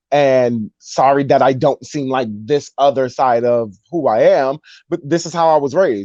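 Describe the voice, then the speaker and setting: The man speaks at a medium pitch with a New York accent. His tone is dark and mellow. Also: quiet background. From New York, Brooklyn. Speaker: rapper. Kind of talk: casual interview chat.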